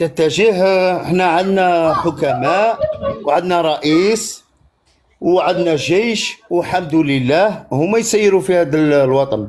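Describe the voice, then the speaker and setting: A man speaks at a very slow pace and high pitch. His loudness stays very even, with ordinary pitch variation. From Algeria. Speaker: caller. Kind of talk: heated debate.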